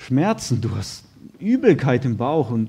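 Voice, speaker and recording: A man's somewhat breathy voice has a dark, mellow tone and lively intonation. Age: 30s. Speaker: lay preacher, firefighter by trade. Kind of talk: sermon.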